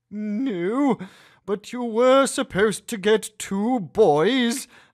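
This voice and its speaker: Using a put-on character voice, a man speaks very slowly in a high pitch with ordinary pitch variation. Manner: fake-sweet, calm, through gritted teeth.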